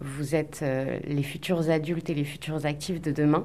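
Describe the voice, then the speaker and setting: A woman speaks at a moderate pace in a very deep, low pitch. Her intonation is monotone and flat. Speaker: school staff member. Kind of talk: interview answer, considered. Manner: measured, formal.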